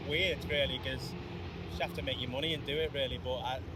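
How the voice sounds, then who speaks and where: Over noticeable background noise and audible room echo, a man with a Liverpool accent and a fairly high voice talks at a fairly quick pace. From Liverpool, England. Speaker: country singer. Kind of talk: casual interview.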